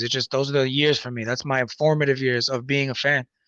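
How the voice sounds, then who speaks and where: This man talks at a very fast pace. His accent is American. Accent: New York, heavy at times. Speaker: rapper and music producer. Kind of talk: casual chat. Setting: live stream. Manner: animated.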